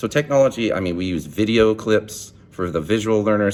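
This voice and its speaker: Animated in tone, a man with a fairly low pitch talks at a fairly quick pace. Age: young. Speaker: student teacher. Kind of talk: video assignment monologue. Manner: loud; animated, halting with repeated words.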